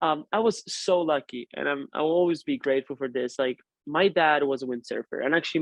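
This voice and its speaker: Fairly high-pitched, a man with an Italian accent talks at a fairly quick pace. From northern Italy, Turin. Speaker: professional windsurfer. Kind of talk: interview. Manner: casual, with frequent fillers and restarts.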